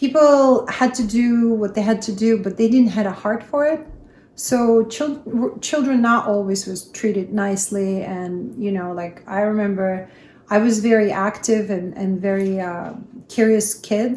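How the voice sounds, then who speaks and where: Somewhat breathy, a woman speaks at a fairly slow pace with fairly high pitch for a woman and ordinary pitch variation. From Russia (Kazakhstan, then Samara). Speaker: interviewee sharing life story. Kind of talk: interview. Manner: hesitant, many fillers.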